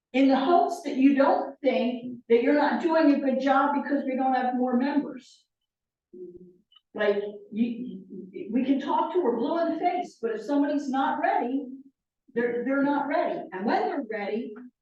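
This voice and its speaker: A woman's high voice with audible room echo. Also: ordinary pitch variation, moderate pace. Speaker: member of a religious order. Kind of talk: group discussion. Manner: emphatic.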